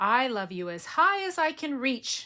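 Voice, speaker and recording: In a put-on character voice, a woman speaks at a moderate pace with a high pitch and very wide pitch swings, on a very clean recording with a silent background. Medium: read story.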